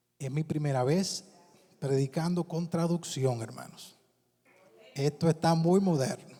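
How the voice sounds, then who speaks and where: Long, frequent pauses break up this man's fairly slow delivery. His pitch is fairly high, with ordinary variation. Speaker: pastor. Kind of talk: sermon.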